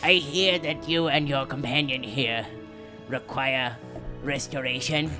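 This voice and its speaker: With clear music in the background, a put-on character voice at a low-to-middle pitch moves at a fairly slow pace. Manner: calm, professional.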